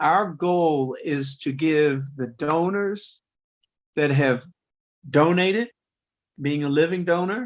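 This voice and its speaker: Speaking at a very slow pace, a man leaves long, frequent pauses. His pitch is fairly high, with ordinary pitch variation. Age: 60s. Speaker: kidney transplant recipient, patient organization president. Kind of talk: podcast interview.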